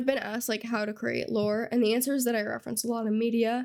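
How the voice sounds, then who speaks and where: The delivery is fairly quick and flat, in a monotone. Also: woman. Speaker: Sims gameplay content creator. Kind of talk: casual talk to camera.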